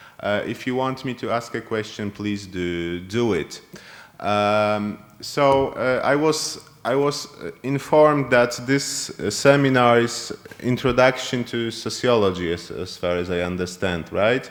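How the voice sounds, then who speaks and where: With a Polish accent, a man speaks fairly slowly at a medium pitch, with ordinary pitch variation. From Poland. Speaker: university lecturer. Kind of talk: lecture. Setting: classroom seminar with online students. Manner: halting.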